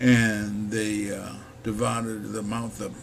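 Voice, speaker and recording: A man with an American accent speaks at a fairly low pitch. Audible room echo and noticeable background noise are present. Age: 70s. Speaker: video blogger on the economy. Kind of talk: casual monologue.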